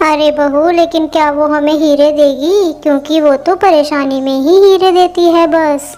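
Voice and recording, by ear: A female-sounding voice at a high pitch performs a cartoonish character voice. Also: moderate pace, hardly any pauses.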